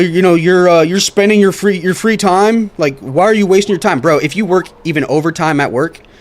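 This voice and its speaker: The man's voice is high, and its pitch varies in an ordinary way. He speaks very fast. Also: hardly any pauses, very even loudness. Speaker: streamer and electrician. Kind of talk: casual livestream chat. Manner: halting.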